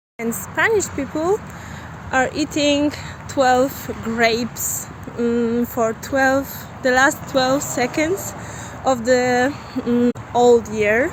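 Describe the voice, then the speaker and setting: A woman's high voice, with its usual rise and fall, cuts through clearly audible background noise. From Poland, Silesia. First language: Polish (Silesian). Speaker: volunteer. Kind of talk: personal testimony. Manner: halting, many fillers.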